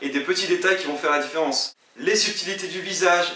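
At a fairly quick pace, a man speaks in a raised, projected voice with ordinary pitch variation and audible room echo. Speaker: video creator giving comic-making tips. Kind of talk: tutorial. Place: home room.

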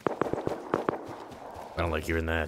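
Noticeable background noise runs under this recording. A man talks at a very slow pace with a very deep, low pitch. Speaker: gaming youtuber. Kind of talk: gameplay commentary.

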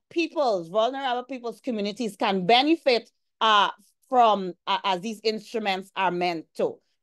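A woman with a Guyanese accent, fairly high pitch, ordinary pitch variation and a moderate pace, against a quiet background. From Guyana. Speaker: environmental law lecturer; presenter. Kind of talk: presentation. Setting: video call. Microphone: video call.

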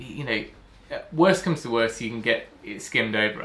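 Pitch varying in an ordinary way, a man speaks at a moderate pace. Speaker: DIY renovation vlogger. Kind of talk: casual vlog chat. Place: garage. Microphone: phone near.

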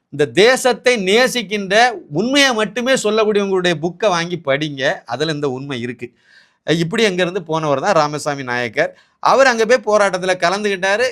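Heard on a very clean recording with a silent background, a man speaks with a high pitch and lively intonation. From Tamil Nadu, Kanyakumari district, east of Nagercoil. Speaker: political commentator. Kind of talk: political commentary monologue.

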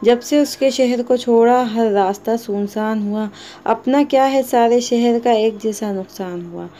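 This woman has an unremarkable speaking voice with a fairly high pitch. Her intonation is fairly even. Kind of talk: poetry reading.

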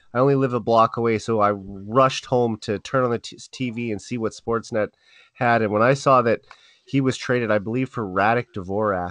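Heard dry and close with no echo and a quiet background, a man with a Canadian accent uses a normal speaking voice at a medium pitch, moderate pace and fairly even intonation. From Saskatchewan, Canada (Saskatoon). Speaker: hockey podcast host. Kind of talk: casual chat.

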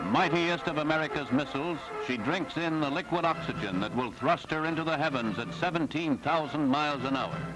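With music playing in the background, a man talks at a fairly quick pace in a fairly high pitch, his pitch varying in an ordinary way. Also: hardly any pauses. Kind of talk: newsreel narration. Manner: dramatic.

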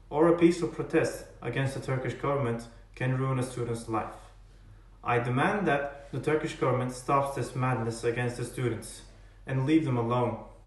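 Audible room echo surrounds a man speaking at a fairly high pitch. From Turkey. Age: 20s. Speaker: college student. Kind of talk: personal testimony to camera. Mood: earnest, serious. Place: home room. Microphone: earbuds.

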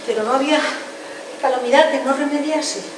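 Amid noticeable background noise and audible room echo, a woman's voice shows ordinary pitch variation. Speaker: stage actress playing an aunt. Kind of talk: theatrical monologue. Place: stage.

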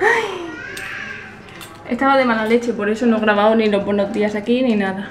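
A woman's voice amid noticeable background noise. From Elche, Alicante, Spain. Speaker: vlogger. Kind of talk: casual vlog talk to camera. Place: home room. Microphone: phone near.

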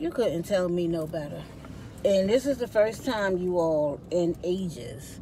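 A woman with a fairly low pitch is recorded dry with no echo, with light background noise. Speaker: vlogger. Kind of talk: casual vlog chat. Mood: cheerful, chatty. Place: car. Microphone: phone near.

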